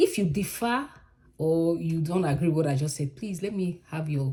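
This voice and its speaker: A woman with a Nigerian accent speaks at a fairly slow pace in a somewhat breathy voice. Her tone is dark and mellow, with ordinary pitch variation. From Nigeria, Edo (Bini). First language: Edo. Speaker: vlogger. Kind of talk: casual monologue vlog. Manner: conversational, with fillers and self-corrections.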